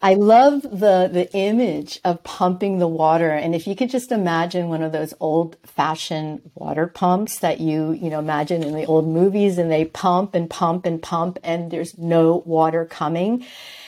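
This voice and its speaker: A woman's normal speaking voice with an American accent, fairly low in pitch, with ordinary pitch variation at a moderate pace. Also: hardly any pauses. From New York. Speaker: entrepreneur and author. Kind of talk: interview.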